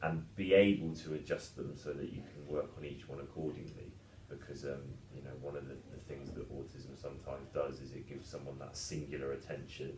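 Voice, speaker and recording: With a very deep, low pitch, a man talks at a fairly quick pace in fairly even intonation, his loudness swinging widely amid audible room echo and noticeable background noise. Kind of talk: casual podcast discussion. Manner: fast; talkative.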